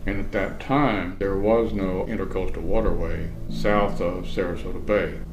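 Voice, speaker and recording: A man speaks at a fairly slow pace with ordinary pitch variation while music plays in the background. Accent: American. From Florida, United States. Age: 70s. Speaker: retired journalist. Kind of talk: oral history interview answer.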